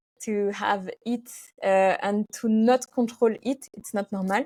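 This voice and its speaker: Very slow speech in a French accent, with fairly even intonation. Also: woman, dry, close sound with no echo, very clean recording, silent background. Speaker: physiotherapist. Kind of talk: interview. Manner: halting.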